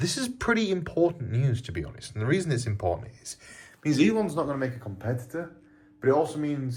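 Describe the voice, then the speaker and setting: A man speaks quietly with a British accent. His voice is somewhat breathy, with lively intonation. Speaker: crypto trading youtuber. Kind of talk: casual market commentary to camera. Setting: hotel room. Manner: kept quiet, voice lowered.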